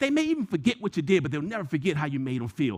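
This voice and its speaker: A man's animated voice rises and falls in very wide pitch swings. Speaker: motivational speaker / trainer. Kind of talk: motivational presentation. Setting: video call.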